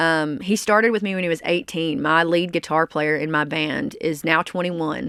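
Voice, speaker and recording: A woman with a Southern US accent speaks at a moderate pace, with hardly any pauses. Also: fairly low pitch for a woman, ordinary pitch variation, very clean recording, silent background. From US South, small-town Arkansas. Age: 30s. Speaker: country singer. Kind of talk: interview.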